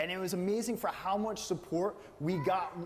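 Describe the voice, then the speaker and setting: Over noticeable background noise, a man speaks loudly at a moderate pace. His tone is animated. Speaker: aquarium business owner. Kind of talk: panel discussion.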